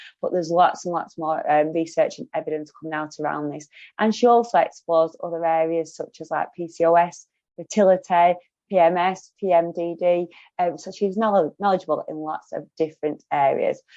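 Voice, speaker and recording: A woman with a strong Lancashire accent talks at a fairly quick pace in a fairly low voice, her loudness swinging widely while her intonation stays fairly even. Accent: broad Lancashire. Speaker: podcast host. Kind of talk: interview.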